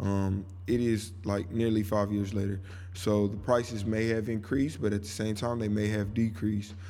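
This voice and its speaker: A man's fairly low, dark, mellow voice in a relaxed tone, monotone and flat, at a moderate pace, with audible room echo. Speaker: podcast host, local music. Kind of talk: casual monologue. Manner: relaxed, conversational.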